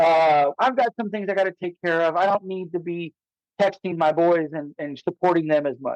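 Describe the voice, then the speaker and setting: A man's high voice with ordinary pitch variation, in dry, close sound with no echo. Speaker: chef and hospitality consultant. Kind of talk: casual interview chat. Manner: fast; halting, many repeated words.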